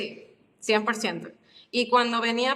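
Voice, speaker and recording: A woman speaks at a fairly slow pace in a high pitch with fairly even intonation. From Mexico, Guadalajara. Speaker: podcast guest. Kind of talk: casual interview chat.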